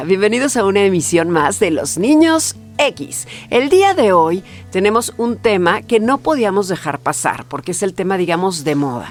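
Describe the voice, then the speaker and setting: Over music in the background, a woman speaks at a moderate pace. Her medium pitch makes very wide swings. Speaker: podcast host; announcer. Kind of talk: podcast conversation. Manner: casual, chatty.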